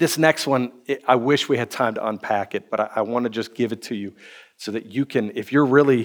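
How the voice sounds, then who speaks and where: A man with an American accent speaks in a plain, everyday voice at medium pitch and a fairly quick pace. His intonation is fairly even, and the recording is very clean with a silent background. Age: 30s. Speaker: pastor. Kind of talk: sermon.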